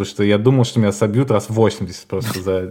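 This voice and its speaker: In a very clean recording with a silent background, a man with an unremarkable speaking voice talks at a moderate pace, using a fairly low pitch and ordinary pitch variation. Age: 30s. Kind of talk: casual chat. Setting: call.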